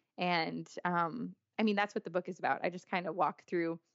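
A normal speaking voice with an American accent, fairly even intonation and a moderate pace. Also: woman. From US big cities. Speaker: author. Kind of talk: casual chat.

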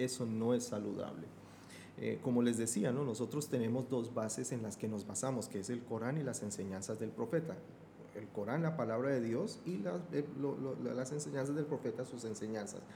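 A medium-pitched man at a moderate pace with ordinary pitch variation, amid noticeable background noise and audible room echo. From Colombia, Bogotá. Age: 50s. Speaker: Islamic affairs expert. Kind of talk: podcast interview.

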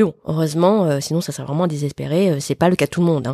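Over a silent background on a very clean recording, a woman with a very deep, low pitch and a dark, mellow tone speaks at a fairly quick pace with fairly even intonation, the sound dry and close with no echo. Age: 40s. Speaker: podcast host. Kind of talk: casual interview answers. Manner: hesitant.

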